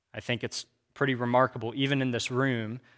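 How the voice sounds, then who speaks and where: Speaking at a fairly quick pace, a man uses a Midwestern American accent. His pitch sits at a medium level and his intonation stays fairly even. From Kansas. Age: 30s. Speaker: church teacher. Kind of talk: lecture. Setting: room with audience.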